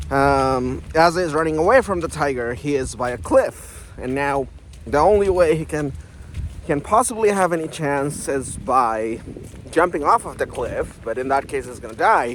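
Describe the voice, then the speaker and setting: A man with a non-native accent speaks at a moderate pace, his fairly high pitch carrying lively intonation. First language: not English. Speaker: self-help YouTuber. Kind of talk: casual vlog monologue. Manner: hesitant, many fillers.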